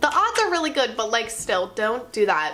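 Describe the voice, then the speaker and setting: Noticeable background noise under a woman's fairly high-pitched voice. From New Jersey. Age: 20s. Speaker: YouTuber and college student. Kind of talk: vlog, casual chat to camera. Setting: apartment, indoors. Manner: fast.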